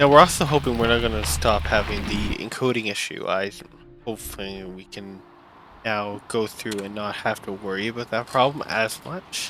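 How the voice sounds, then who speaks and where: Over noticeable background noise, a man talks at a moderate pace in a fairly low voice. His intonation is lively, and his loudness swings widely. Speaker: gaming let's play commentator. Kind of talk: casual gameplay commentary. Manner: halting.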